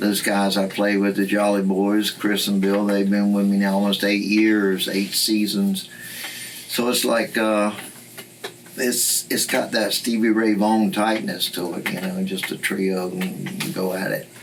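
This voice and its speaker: Against noticeable background noise and audible room echo, a man with a Southern US accent speaks at a fairly slow pace and a fairly low pitch. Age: 70s. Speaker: blues guitarist and singer. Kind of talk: interview.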